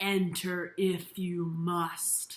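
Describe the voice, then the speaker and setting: A woman puts on a character voice, fairly low in pitch and monotone with flat intonation. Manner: menacing.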